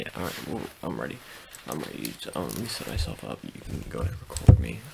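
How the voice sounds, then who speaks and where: A man at a very fast pace, his loudness swinging widely, over loud background noise. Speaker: ASMR content creator. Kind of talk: whisper ASMR role-play, mock-conspiratorial open letter.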